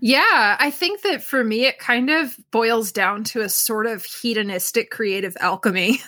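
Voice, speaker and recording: Over noticeable background noise, a woman with an American accent speaks at a fairly slow pace with hardly any pauses. Her pitch is fairly high, with ordinary variation. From US Northeast, Pocono Mountains, Pennsylvania. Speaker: forager and music graduate student. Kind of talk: interview.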